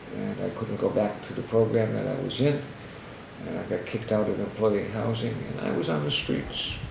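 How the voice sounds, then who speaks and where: Through audible room echo and noticeable background noise, a man with an American accent speaks at a fairly low pitch and a moderate pace. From Boston area. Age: 60s. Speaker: homeless outreach worker, former homeless alcoholic. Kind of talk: testimony.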